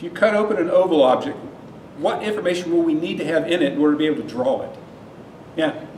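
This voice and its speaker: A loud man talks at a very fast pace in a high voice with ordinary pitch variation, broken by long, frequent pauses. Noticeable background noise and audible room echo fill the recording. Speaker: university lecturer. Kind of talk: lecture. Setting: lecture hall with students.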